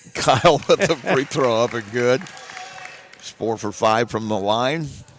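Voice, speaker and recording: The intonation is lively. Crowd noise can be heard in the background. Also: man. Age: 60s. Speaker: play-by-play sports announcer. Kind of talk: live commentary.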